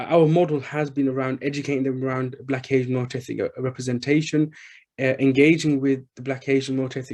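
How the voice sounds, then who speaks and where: In a Birmingham accent, a man rattles along at a very fast pace with a dark, mellow tone, medium pitch and monotone, flat intonation. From England, Birmingham. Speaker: charity chief executive. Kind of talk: panel discussion. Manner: halting, many fillers.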